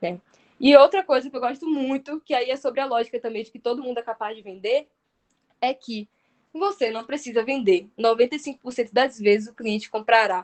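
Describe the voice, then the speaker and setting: A woman's high, animated voice with ordinary pitch variation and big swings in loudness, in dry, close sound with no echo. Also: fairly quick pace. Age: 20s. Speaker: sales manager giving a talk. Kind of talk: online workshop talk. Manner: fast.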